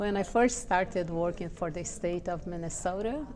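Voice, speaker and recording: Audible room echo surrounds a woman with a Portuguese accent and a fairly low pitch. She keeps a moderate pace and a fairly even intonation. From Brazil. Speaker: social services professional. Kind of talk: personal interview testimony.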